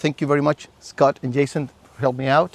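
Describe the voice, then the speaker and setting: A man speaks with a Chilean accent and a fairly high pitch. The sound is dry and close, with no echo. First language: Spanish. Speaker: survival instructor. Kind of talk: lecture.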